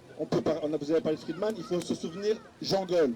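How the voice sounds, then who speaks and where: Noticeable background noise accompanies a man with a high pitch. He talks at a fairly quick pace with ordinary pitch variation. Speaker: panel speaker at a political conference. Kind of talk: panel discussion.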